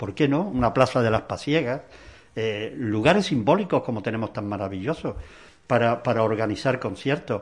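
An ordinary speaking voice, moderately paced, its pitch shifting in an ordinary way. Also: man, medium pitch for a man. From Granada, Spain. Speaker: musician. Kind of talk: interview.

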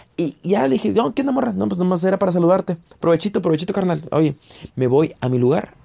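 Speaking at a very fast pace, a man with a high pitch and a dark, mellow tone moves through very wide pitch swings. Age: 30s. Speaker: comedian. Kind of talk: storytelling monologue. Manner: casual, colloquial.

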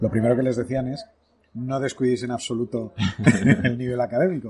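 This man speaks at a very fast pace, somewhat breathy. His intonation stays fairly even. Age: 40s. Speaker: podcast host, entrepreneur. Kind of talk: casual interview over lunch. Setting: restaurant.

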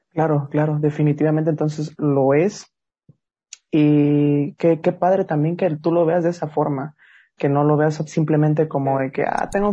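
Here a man speaks at a fairly high pitch. His voice comes across somewhat breathy. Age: young. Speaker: podcast host. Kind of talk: casual interview. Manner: halting, repeats words.

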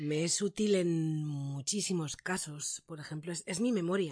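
Over a quiet background, a woman talks at a fairly slow pace. Her fairly low voice has lively intonation. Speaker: voice actress and announcer. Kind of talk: interview. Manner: trained placed voice.

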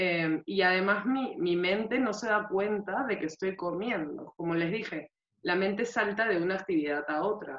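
A woman talks at a moderate pace with hardly any pauses. Her medium-pitched voice shows ordinary pitch variation. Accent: Peruvian. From Peru. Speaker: nutritionist. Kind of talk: interview.

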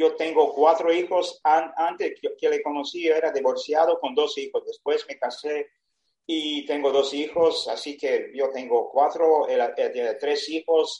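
A man with a Serbian accent at a fairly slow pace. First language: Serbian (speaking Spanish). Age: 70s. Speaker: retired sailor. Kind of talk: personal storytelling. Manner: halting.

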